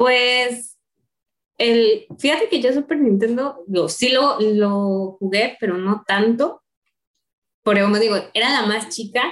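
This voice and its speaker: A woman's fairly high voice moves at a very slow pace, its pitch varying in an ordinary way. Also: very even loudness. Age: 30s. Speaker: university staff member. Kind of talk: casual chat.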